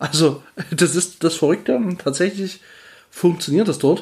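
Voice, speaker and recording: A man's pitch varies in an ordinary way as he speaks at a moderate speed. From Erzgebirge, Saxony, eastern Germany. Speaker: podcast host. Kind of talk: solo Q&A podcast monologue. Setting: at home on the couch. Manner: casual, hesitant with fillers.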